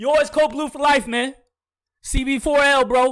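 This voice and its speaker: A man talks loudly at a fairly quick pace. His pitch is extremely high for a man. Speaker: video game streamer. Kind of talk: live game commentary. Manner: animated.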